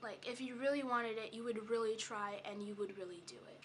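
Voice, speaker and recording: With a bright, sharp tone, a woman speaks at a fairly high pitch and fairly even intonation. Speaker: vlogger. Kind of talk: casual vlog monologue. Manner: halting, many fillers.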